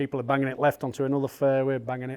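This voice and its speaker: At a very fast pace, a man talks at a medium pitch. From Yorkshire, England. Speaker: golf caddie. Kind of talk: interview answer.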